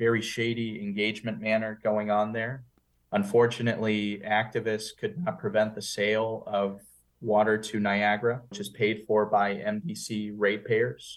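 A man with an American accent talks in a normal speaking voice at a moderate pace. His pitch is fairly low, and his intonation is fairly even. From Connecticut, West Hartford. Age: 20s. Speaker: environmental justice specialist. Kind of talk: interview. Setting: video call.

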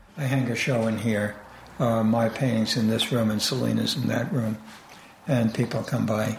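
A man's medium-pitched voice at a moderate pace, fairly even in intonation and very even in loudness, with noticeable background noise. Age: 80s. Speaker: painter. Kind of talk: interview.

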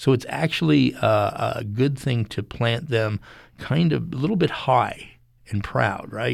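This man has a fairly low pitch with vocal fry. He moves at a moderate pace while his pitch swings very widely. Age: 60s. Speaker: horticulturist and gardening podcast co-host. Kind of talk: radio call-in interview.

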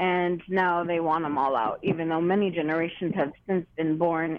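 With an American accent, a woman speaks in an unremarkable speaking voice at a fairly low pitch and a moderate pace. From Los Angeles. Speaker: activist. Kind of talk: radio roundtable discussion.

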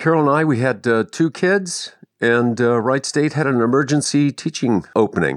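A man with an American accent and an unremarkable speaking voice talks at a fairly high pitch with ordinary pitch variation, in a dry, close sound with no echo against a quiet background. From Ohio, US Midwest. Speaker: actor. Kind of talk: interview.

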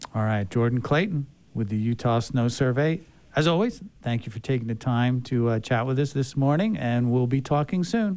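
A man speaks at a moderate pace in a normal speaking voice. His pitch is medium, with ordinary variation. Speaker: radio host. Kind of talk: casual radio interview. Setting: studio.

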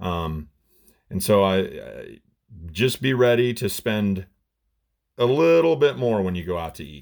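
A fairly low-pitched male voice, fairly slow, with long, frequent pauses, very wide pitch swings and big swings in loudness, on a very clean recording with a silent background. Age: 40s. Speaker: restaurant owner. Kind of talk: radio interview. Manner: casual, laughing.

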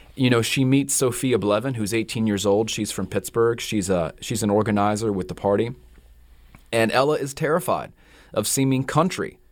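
On a very clean recording with a silent background, a man with an American accent talks at a moderate pace and a medium pitch. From North Carolina, Gastonia. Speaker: novelist. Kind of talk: interview. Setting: radio studio.

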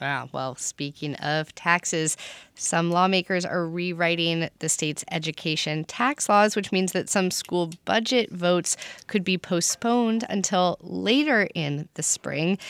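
At a fairly slow pace, a woman with an unremarkable speaking voice talks at a fairly low pitch. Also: ordinary pitch variation. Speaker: public radio talk show host. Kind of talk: radio call-in discussion. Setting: radio studio.

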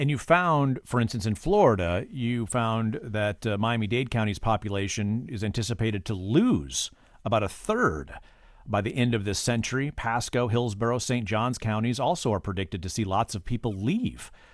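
Using a plain, everyday voice, a man with an American accent speaks at a moderate pace and medium pitch with ordinary pitch variation. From Chicago area, US Midwest. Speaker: public radio host. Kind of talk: scripted narration; radio call-in show.

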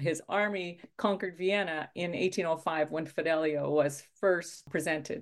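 A woman speaks in a Canadian Prairie accent at a moderate pace. Her fairly low pitch shows ordinary variation against a quiet background. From Saskatchewan, Canada. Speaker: orchestra conductor. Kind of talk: radio interview.

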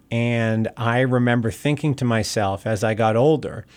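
On a very clean recording with a silent background, a man speaks with an eastern Pennsylvania accent. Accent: eastern Pennsylvania American. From Bethlehem, Pennsylvania, US. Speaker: city mayor. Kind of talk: radio interview.

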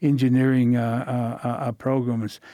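A man's dark, mellow voice over a quiet background. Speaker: labor leader and author. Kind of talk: interview. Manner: halting.

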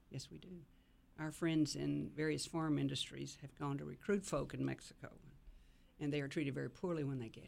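Talking at a fairly quick pace, a woman with a Southern US accent makes big swings in loudness. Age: old. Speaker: civil rights activist. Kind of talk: radio panel discussion.

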